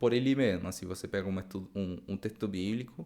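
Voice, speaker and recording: A man speaks at a fairly quick pace. He has a Spanish accent. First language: Spanish (speaking Portuguese). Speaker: Bible study teacher. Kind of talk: lecture. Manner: halting, many repetitions; casual, improvised.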